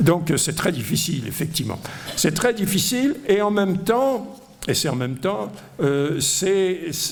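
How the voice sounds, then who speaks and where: A man's high voice at a fairly slow pace, with very wide pitch swings, audible room echo and noticeable background noise. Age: 70s. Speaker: economics professor. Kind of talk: lecture. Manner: hesitant, many fillers.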